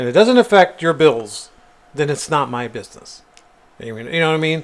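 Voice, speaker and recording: With very wide pitch swings and big swings in loudness, a man speaks at a fairly high pitch over noticeable background noise. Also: fairly quick pace. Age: 50s. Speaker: podcast co-host. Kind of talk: casual chat.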